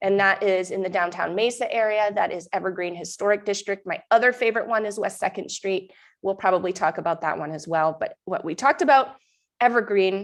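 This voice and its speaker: Speech at a fairly quick pace with an American accent and ordinary pitch variation, against a quiet background. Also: woman, medium pitch for a woman. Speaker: mom group host and real estate agent. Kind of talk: live stream update. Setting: live stream. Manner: casual, chatty.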